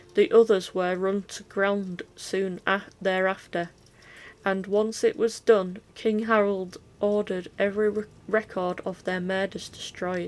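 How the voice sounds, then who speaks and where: Against a silent background on a very clean recording, a woman speaks fairly slowly. Her medium-pitched voice is flat and monotone. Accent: Yorkshire. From Yorkshire, England. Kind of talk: book reading. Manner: casual, occasionally stumbling over words.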